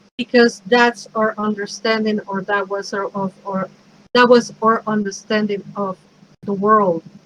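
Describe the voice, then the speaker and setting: A woman with a Mexican accent speaks at a fairly slow pace in a flat, monotone way. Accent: Mexican Spanish accent, noticeable. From Mexico City, Mexico. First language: Spanish. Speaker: pagan priestess and minister, speaker. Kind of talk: talk. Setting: virtual event.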